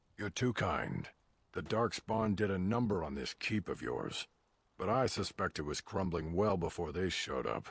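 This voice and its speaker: Gruff and very deep, a man's put-on character voice moves at a moderate pace. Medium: video game. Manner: blunt, gruff, disdainful.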